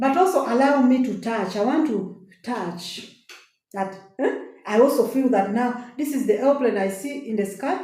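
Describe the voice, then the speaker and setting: With audible room echo, the speaker talks at a moderate pace and uses lively intonation. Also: woman, high pitch for a woman. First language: a local African language. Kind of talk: inspirational testimony. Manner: animated.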